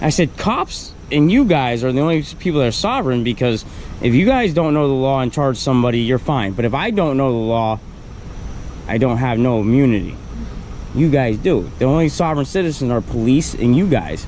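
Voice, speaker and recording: Lively intonation and very even loudness carry this fairly quick delivery over noticeable background noise. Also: man, medium pitch for a man. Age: 40s. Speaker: man complaining about police arrest. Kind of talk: casual chat. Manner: animated.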